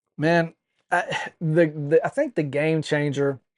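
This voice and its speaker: A man with a plain, everyday voice, fairly high pitch, and fairly even intonation, in a dry, close sound with no echo. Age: 40s. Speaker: wrestling podcast co-host. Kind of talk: casual chat.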